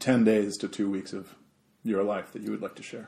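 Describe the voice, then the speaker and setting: Using a normal speaking voice, a man talks with a fairly low pitch and fairly even intonation. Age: 30s. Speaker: podcast co-host. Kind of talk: casual chat.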